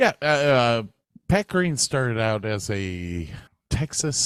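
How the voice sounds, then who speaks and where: In an American accent, a man talks at a very slow pace with very wide pitch swings, the sound dry and close with no echo. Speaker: podcast co-host. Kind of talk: casual chat.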